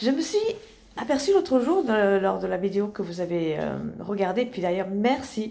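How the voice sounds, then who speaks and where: In a room with audible echo, a woman with a dark, mellow tone and fairly high pitch speaks slowly with lively intonation, leaving long, frequent pauses. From Italy (Rome) to age 12, then rural Tarn, France. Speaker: sophrologist, therapist. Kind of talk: casual personal introduction vlog. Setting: in her therapy office, lying in armchair. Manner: hesitant, many fillers.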